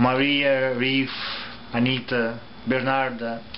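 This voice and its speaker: With a Russian accent and a medium pitch, a man speaks amid noticeable background noise and audible room echo. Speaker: theatre reviewer. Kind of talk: review vlog. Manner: halting.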